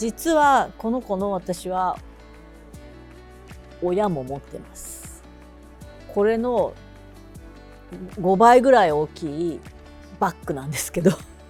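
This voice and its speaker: With music in the background, a woman of medium pitch speaks in a relaxed tone with very wide pitch swings. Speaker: freelance announcer and narrator. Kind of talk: casual talk to camera. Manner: relaxed, chatty.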